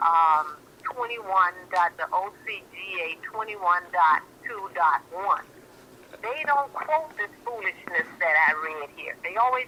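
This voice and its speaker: Against noticeable background noise, a woman with an American accent talks at a fairly slow pace, her pitch swinging very widely. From Miami, Florida. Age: 60s. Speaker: caller. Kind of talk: phone-in talk show.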